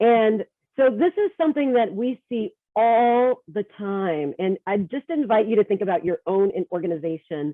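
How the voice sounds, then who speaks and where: With an American accent and an unremarkable speaking voice, the speaker talks at a moderate pace with lively intonation. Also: woman. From Texas. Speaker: workshop presenter and leadership coach. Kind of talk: workshop presentation.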